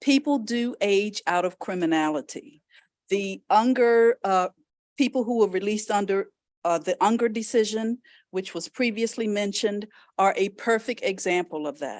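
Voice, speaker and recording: At a moderate pace, a woman with an unremarkable speaking voice talks in a fairly high pitch with ordinary pitch variation, the sound dry and close with no echo. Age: 60s. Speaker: lawyer. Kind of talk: legislative testimony.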